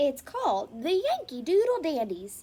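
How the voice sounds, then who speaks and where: A woman uses a put-on character voice at a high pitch. Her pitch swings very widely. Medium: read story. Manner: brisk, upbeat.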